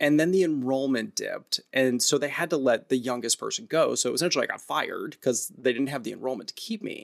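A man's fairly high voice at a fairly quick pace, with ordinary pitch variation, an American accent and a normal speaking voice. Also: hardly any pauses. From US Midwest, St. Louis area (North County). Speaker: theater director and arts educator. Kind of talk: interview conversation. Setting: video call.

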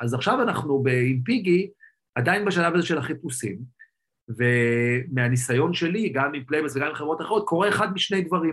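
Moderately paced, a man with a plain, everyday voice speaks at a fairly high pitch with lively intonation. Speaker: tech entrepreneur. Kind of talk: interview.

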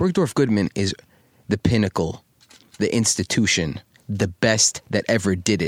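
A New York accent with ordinary pitch variation, very even loudness, long, frequent pauses and a dry, close sound with no echo. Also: man, fairly low pitch for a man, moderate pace. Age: 30s. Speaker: fashion designer and entrepreneur. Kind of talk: casual interview conversation. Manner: animated, frequent repetitions and fillers.

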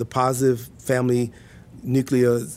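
A man with an American accent speaks at a fairly slow pace in a medium pitch, using a plain, everyday voice. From US South, Mississippi. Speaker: university administrator and professor. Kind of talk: podcast interview.

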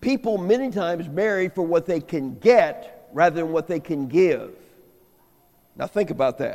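With an American accent, a man speaks at a moderate pace in a dark, mellow tone, his high pitch moving with lively intonation. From US Midwest, inner-city St. Louis. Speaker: guest preacher and marriage teacher. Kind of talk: sermon. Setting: church.

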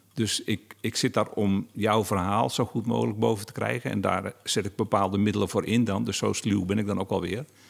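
There is vocal fry in this man's fairly low voice as he talks at a fairly quick pace with hardly any pauses and ordinary pitch variation. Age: 50s. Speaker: novelist and interviewer. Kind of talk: interview conversation.

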